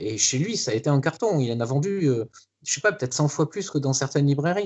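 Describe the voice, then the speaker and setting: A man talks with lively intonation. His pitch falls in the middle range. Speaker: comic book artist. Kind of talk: casual interview. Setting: home studio. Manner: halting, many fillers.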